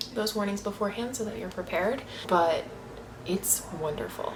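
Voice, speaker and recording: A woman speaks quietly in an animated tone with ordinary pitch variation. Audible room echo and noticeable background noise surround her. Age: 20s. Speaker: booktuber. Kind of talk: casual vlog chat. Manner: speaking quietly.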